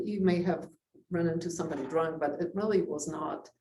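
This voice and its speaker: With audible room echo, a woman speaks at a moderate pace in a somewhat breathy voice. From Poland. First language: Polish. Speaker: community society president. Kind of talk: talk to a club with Q&A. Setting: club meeting with audience.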